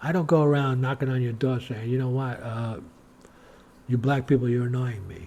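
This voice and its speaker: With an American accent, a man speaks at a medium pitch and moderate pace in a somewhat breathy, dark, mellow tone. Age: 60s. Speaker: religious video blogger. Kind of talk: monologue to camera. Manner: animated.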